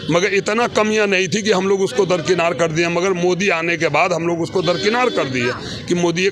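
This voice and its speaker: A man speaks in a high pitch. Noticeable background noise can be heard. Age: 60s. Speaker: member of the public. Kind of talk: street interview, heated political opinion. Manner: animated.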